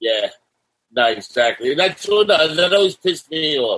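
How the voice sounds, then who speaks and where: A man speaks with a New York accent and ordinary pitch variation. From New York City, Staten Island. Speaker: punk singer. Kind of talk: casual interview. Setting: video call.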